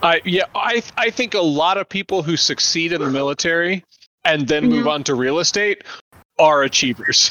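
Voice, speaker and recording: Intonation is lively as the man talks. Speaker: pastor and podcast host. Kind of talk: casual interview chat. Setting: virtual recording, online call. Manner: animated, tends to talk loudly.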